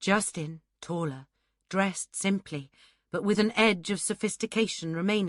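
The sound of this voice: An unforced reading voice is heard, and the background is quiet.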